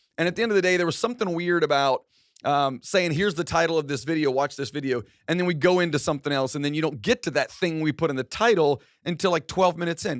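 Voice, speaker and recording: On a very clean recording with a silent background, a man with a fairly high pitch and an energetic tone speaks with ordinary pitch variation in a dry, close sound with no echo. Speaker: content marketing show host. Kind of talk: casual vlog-style show intro. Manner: energetic, loud; casual with many fillers.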